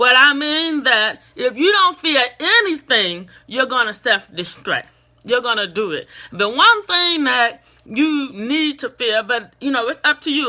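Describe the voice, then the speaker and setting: A woman speaks loudly at a high pitch, her pitch swinging very widely. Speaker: motivational speaker. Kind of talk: motivational talk. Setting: facebook live stream.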